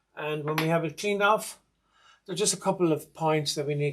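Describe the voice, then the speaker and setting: A man with an Irish accent speaks at a fairly high pitch, with ordinary pitch variation. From Ireland. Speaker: sewing machine restorer. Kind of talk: tutorial.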